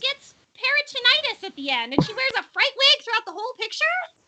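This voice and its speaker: A put-on character voice from a woman, squeaky and extremely high-pitched, with lively intonation at a very fast pace. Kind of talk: stage play reading. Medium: stage play. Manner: scornful, nagging.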